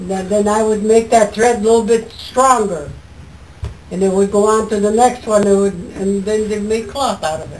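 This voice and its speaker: With noticeable background noise, a woman at a fairly high pitch talks at a moderate pace with fairly even intonation. Her loudness swings a lot. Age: 80s+. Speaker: former farm girl and mill worker. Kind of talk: interview answer. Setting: outdoors.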